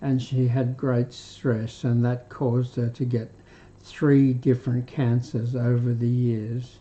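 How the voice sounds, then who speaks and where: At a very slow pace, a man with an Australian accent and a medium pitch speaks in a flat monotone at very even loudness. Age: 80s+. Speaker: retired doctor, health live streamer. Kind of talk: health talk live stream. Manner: halting, with fillers.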